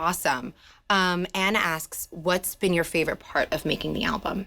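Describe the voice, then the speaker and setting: With a New Jersey accent, the voice has a bright, sharp tone, fairly even intonation, a moderate pace and very even loudness, on a very clean recording with a silent background. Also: woman, medium pitch for a woman. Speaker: music channel interviewer. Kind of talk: interview. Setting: studio.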